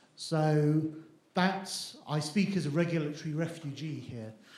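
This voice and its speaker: A man with a British accent speaks in a somewhat breathy, fairly high voice with fairly even intonation. There is audible room echo. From UK. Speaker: satellite developer. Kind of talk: panel discussion.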